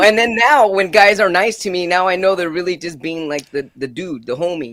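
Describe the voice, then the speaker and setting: A man's raised, projected voice, high in pitch, animated and bright with a sharp edge. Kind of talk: casual chat. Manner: fast.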